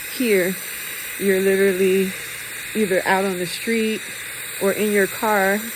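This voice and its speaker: Delivered at a moderate pace in a monotone, flat voice, the speech carries audible room echo and noticeable background noise. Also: woman. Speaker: vlogger in hospital recovery. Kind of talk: personal video diary. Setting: hospital ICU. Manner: halting, many ums.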